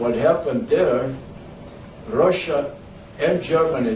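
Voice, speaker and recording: A man's fairly high voice with ordinary pitch variation at a fairly slow pace, amid audible room echo and noticeable background noise. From Croatia (former Yugoslavia), ethnic German. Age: 80s+. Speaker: war veteran. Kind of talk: talk to a school class. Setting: classroom.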